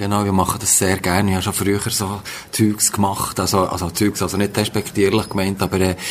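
Noticeable background noise runs under a man speaking at a fairly low pitch. He talks at a fairly quick pace in a monotone, flat intonation. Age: 60s. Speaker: workshop participant. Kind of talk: interview.

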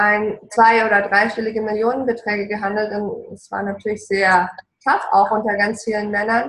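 Intonation stays fairly even while the pace remains moderate. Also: woman. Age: 40s. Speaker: relationship coach. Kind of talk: casual interview. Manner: passionate, emotional.

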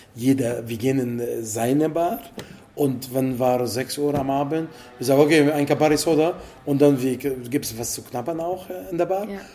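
With music in the background, a man speaks at a medium pitch and a moderate pace, showing ordinary pitch variation and big swings in loudness. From Italy. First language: Italian (speaking German). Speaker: bartender. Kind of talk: interview. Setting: in a bar.

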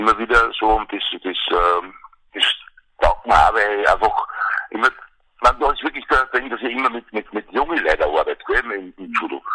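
In a dry, close sound with no echo, a man speaks at a moderate pace with long, frequent pauses. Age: 50s. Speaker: Paralympic judo champion. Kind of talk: interview. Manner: halting. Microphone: poor phone line quality.

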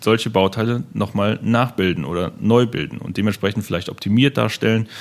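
This man has a fairly low pitch and an ordinary speaking voice. He talks at a fairly quick pace. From Germany, Hennef (Rhineland). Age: 20s. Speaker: sales manager at 3D printing company. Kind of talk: interview, technical explanation.

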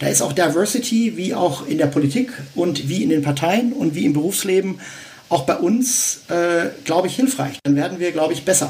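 A man speaks at a high pitch with very wide pitch swings and a moderate pace. Noticeable background noise runs underneath. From Westphalia, Germany (Dortmund). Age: 50s. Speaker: founder of a civic association. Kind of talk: interview. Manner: hesitant, many fillers.

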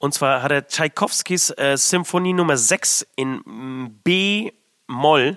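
The recording is very clean, with a silent background. A man talks in a bright, sharp tone. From abroad, came to Germany as a child. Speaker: metal band musician. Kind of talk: casual chat. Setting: studio.

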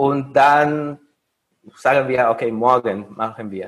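Speaking at a very slow pace with a Mexican accent, a man talks in a fairly high pitch. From Mexico. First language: Spanish (speaking German). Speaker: recent master's graduate. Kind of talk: interview. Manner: halting, with fillers.

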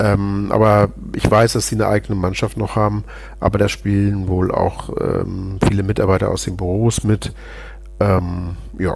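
A man's fairly low, monotone voice with flat intonation at a moderate pace, over noticeable background noise. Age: 50s. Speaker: politician, member of parliament. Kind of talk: podcast interview.

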